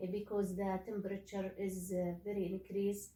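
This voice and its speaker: The voice is somewhat breathy, with an Arabic accent. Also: woman. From Saudi Arabia. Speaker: graduate student. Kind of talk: casual discussion. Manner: halting, many fillers.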